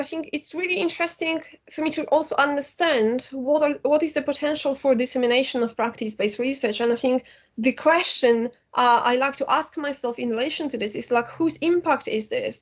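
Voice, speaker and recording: Speaking very fast with a Polish accent, a woman uses a high pitch and lively intonation. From Poland. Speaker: academic and filmmaker. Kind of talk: lecture.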